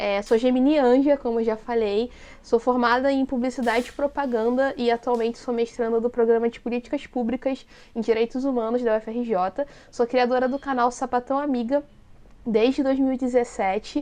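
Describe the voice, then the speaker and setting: A dark, mellow tone with monotone, flat intonation at a moderate pace. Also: woman, high pitch for a woman. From Brazil, Rio de Janeiro city. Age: 30s. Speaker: content creator and activist. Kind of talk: casual interview chat.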